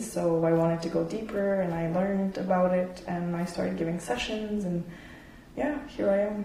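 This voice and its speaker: Someone talks at a moderate pace with ordinary pitch variation over noticeable background noise. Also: woman. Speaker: sound healer. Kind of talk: casual interview chat.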